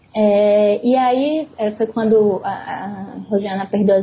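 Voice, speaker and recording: A woman speaks at a fairly high pitch. Noticeable background noise runs behind her. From Brazil, São Luís, Maranhão. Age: 30s. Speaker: writer. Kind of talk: casual chat.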